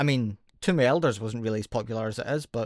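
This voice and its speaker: On a very clean recording with a silent background and dry, close sound with no echo, a man with a Scottish accent talks at a fairly quick pace with ordinary pitch variation. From Scotland. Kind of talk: gaming commentary.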